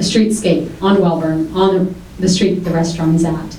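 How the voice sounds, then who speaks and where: With an American accent, a woman at medium pitch talks at a fairly quick pace, with audible room echo and noticeable background noise. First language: Greek. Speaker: city commission candidate, restaurant owner. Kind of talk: candidate debate opening statement.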